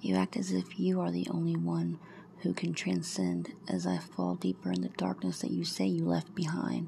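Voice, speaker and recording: The woman talks at a moderate pace. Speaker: poet. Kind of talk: poem performed, read aloud as emotional spoken-word verse.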